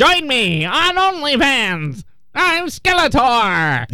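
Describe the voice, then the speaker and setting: A female-sounding voice uses a put-on character voice, high in pitch with very wide pitch swings. The pace is very slow. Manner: annoying, over the top, gloating.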